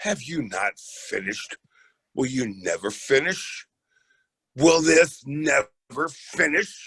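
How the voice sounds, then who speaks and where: A man puts on a raspy character voice at a fairly high pitch, with lively intonation and a very slow pace. The sound is dry and close with no echo. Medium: stage play. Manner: imperious, theatrical.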